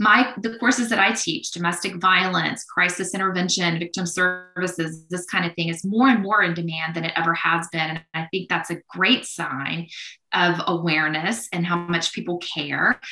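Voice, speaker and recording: Over noticeable background noise, a woman with a fairly low pitch and ordinary pitch variation talks with hardly any pauses. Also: moderate pace. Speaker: criminology professor and researcher. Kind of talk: casual interview conversation. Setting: online video call.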